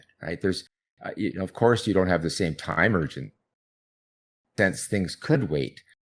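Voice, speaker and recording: A man's very deep, low voice with vocal fry and lively intonation, at a moderate pace with long, frequent pauses. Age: 60s. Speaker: psychologist researching procrastination. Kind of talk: interview.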